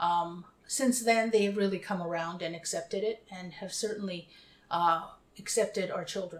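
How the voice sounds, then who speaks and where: Her voice, an unremarkable speaking voice, sits at a medium pitch for a woman with ordinary pitch variation. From Winnipeg, Canada. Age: 50s. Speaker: interviewee. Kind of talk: interview.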